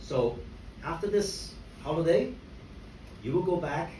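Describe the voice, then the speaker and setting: A man speaks with ordinary pitch variation in a room with audible echo. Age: 60s. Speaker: motivational speaker at a company event. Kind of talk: talk to an audience. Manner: conversational, with frequent fillers.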